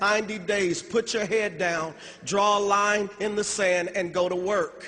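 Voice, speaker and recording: Noticeable background noise sits behind a man speaking at a moderate pace. His voice is high and his tone animated. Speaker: motivational speaker at business convention. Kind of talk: motivational speech.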